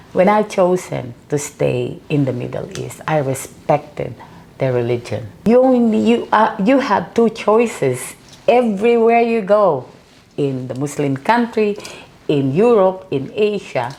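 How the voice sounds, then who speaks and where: Speaking at a fairly slow pace, a woman with a medium pitch makes very wide pitch swings. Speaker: author and burn survivor. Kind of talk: interview.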